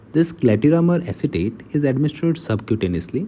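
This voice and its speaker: Talking at a very fast pace, a man with an Indian accent uses a fairly high pitch, very wide pitch swings, vocal fry and a dark, mellow tone. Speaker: medical lecturer. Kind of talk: lecture. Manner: halting.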